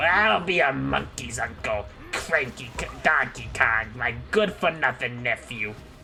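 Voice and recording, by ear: A raspy, put-on character voice moves at a moderate pace. Music plays in the background. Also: man, medium pitch for a man.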